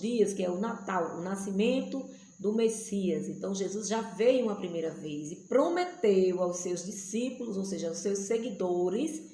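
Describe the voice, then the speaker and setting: A woman speaks at a medium pitch and a fairly slow pace, with ordinary pitch variation. The recording has audible room echo and noticeable background noise. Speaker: missionary and Bible teacher. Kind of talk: Bible study teaching.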